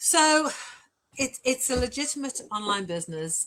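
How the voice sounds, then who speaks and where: With a Welsh accent, a woman speaks using lively intonation. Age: 60s. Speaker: online business mentor. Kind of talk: interview. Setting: live video stream.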